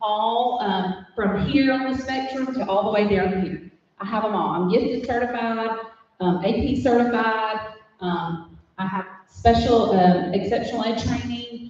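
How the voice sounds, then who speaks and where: Delivery is fairly slow. The words come with a Southern US accent. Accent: Southern US (Georgia). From US South, LaGrange, Georgia. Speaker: middle school teacher. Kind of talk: speech to club audience. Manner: loud; animated.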